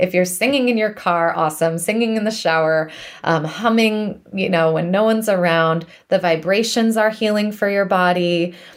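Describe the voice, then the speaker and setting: A woman with a normal speaking voice talks at a moderate pace with medium pitch, ordinary pitch variation and very even loudness. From US East Coast. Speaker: music therapist. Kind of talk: interview.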